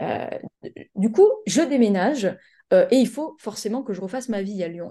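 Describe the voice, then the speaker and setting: Somewhat breathy with a dark, mellow tone, the voice moves at a moderate pace with lively intonation. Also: woman. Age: 20s. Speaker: life coach and business mentor. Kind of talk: casual chat.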